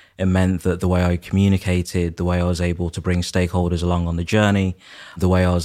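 In a British accent, a man talks at a very deep, low pitch. The recording is very clean, with a silent background. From UK, Nigerian heritage, moved before age two. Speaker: property developer and architect. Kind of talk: interview.

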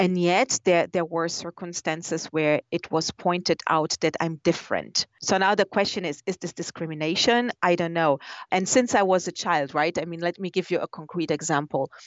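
A woman with a Portuguese accent and fairly low pitch speaks at a moderate pace with ordinary pitch variation. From Brazil. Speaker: business executive. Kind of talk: interview. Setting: phone call. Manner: halting.

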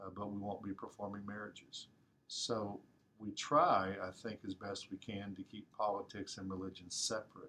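The tone is bright and sharp, with monotone, flat intonation. Delivery comes at a moderate pace. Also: man, fairly low pitch for a man. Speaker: pastor. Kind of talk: interview.

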